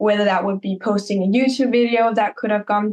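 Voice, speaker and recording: In a normal speaking voice, a woman talks with fairly even intonation at a fairly high pitch. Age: 20s. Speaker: content creator. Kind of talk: podcast interview.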